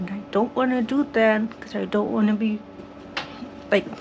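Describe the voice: Vocal fry colors a slightly mellow tone, with faint background noise underneath. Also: woman, medium pitch for a woman, fairly even intonation, moderate pace.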